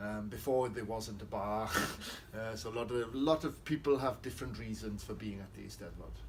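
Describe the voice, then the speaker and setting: Noticeable background noise surrounds the speaker. A man with a Welsh accent talks at a fairly quick pace. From South Wales. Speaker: poet. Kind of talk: interview. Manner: hesitant with fillers.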